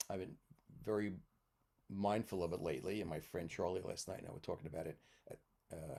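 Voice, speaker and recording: This man talks very fast in a very deep, low voice with a dark, mellow tone and fairly even intonation, yet he leaves long, frequent pauses. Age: 70s. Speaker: retired English teacher and mentor. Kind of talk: casual chat. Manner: halting.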